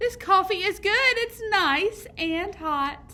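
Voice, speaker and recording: A woman's squeaky, put-on character voice at an extremely high pitch, raised and projected, with lively intonation and a very slow pace. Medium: read story. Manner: stubborn, sleepy.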